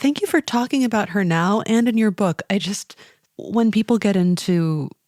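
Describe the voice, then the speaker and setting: A woman talks at a moderate pace with an ordinary speaking voice. Her pitch varies in an ordinary way. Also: dry, close sound with no echo, very clean recording, silent background. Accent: American. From US. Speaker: podcast host. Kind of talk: interview.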